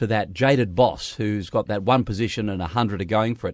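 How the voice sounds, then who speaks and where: In an Australian accent, a man speaks at a moderate pace over a quiet background. His pitch is medium, with ordinary variation. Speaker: radio host. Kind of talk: interview.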